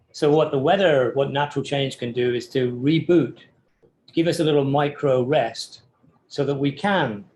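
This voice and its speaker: A man speaks in an English accent at a moderate pace. His fairly high voice is somewhat breathy, with ordinary pitch variation. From England. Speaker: architecture professor. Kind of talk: podcast interview. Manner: hesitant, many fillers.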